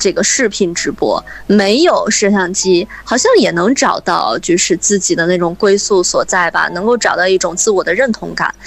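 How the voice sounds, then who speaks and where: Noticeable background noise sits behind a woman's voice. She keeps a moderate pace with hardly any pauses. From Hebei, Shijiazhuang. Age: 30s. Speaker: radio host. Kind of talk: interview.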